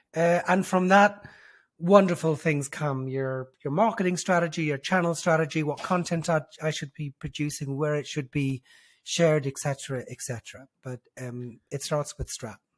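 A man with a fairly high, somewhat breathy voice talks at a moderate pace with ordinary pitch variation. The sound is dry and close, with no echo. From Dublin, Ireland. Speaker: brand strategist. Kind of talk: casual interview chat. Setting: video call.

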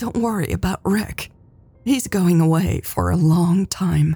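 Quietly and at a fairly slow pace, a woman uses a put-on character voice with a dark, mellow tone, a husky, rough edge and ordinary pitch variation. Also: fairly low pitch for a woman.

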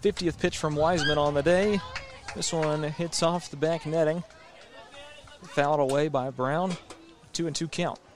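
A man speaks at a moderate pace with a fairly high pitch and fairly even intonation. Long, frequent pauses break up his speech, and background noise is noticeable. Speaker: play-by-play announcer. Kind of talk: live sports commentary, play-by-play calling pitches and counts. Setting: radio broadcast from the ballpark. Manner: brisk, steady, matter-of-fact call of each pitch and count.

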